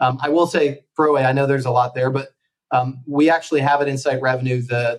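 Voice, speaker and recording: In an American accent, this is a normal speaking voice at a moderate pace with ordinary pitch variation. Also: man. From US. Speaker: company founder and sales executive. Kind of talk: podcast interview.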